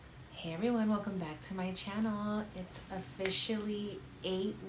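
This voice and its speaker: The speech moves at a very slow pace with fairly even intonation. Audible room echo and noticeable background noise surround it. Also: woman. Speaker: lifestyle vlogger, mother. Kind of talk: casual vlog. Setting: at home late at night. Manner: quiet, held down so as not to wake kids.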